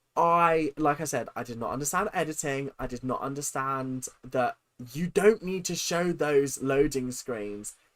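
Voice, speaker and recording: Over a silent background in a very clean recording, a man with a fairly high pitch and a bright, sharp tone talks at a fairly slow pace with big swings in loudness. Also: ordinary pitch variation. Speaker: YouTuber reacting to own old videos. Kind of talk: casual livestream commentary.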